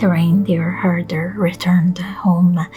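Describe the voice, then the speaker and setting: Music plays in the background as a woman whispers. She is soft-spoken. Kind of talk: bedtime story reading. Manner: soft-spoken, whispering.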